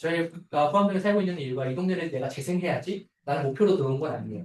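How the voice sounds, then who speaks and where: The intonation is lively. The voice sounds somewhat breathy. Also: man. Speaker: architect. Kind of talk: seminar talk. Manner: fast; filler-heavy.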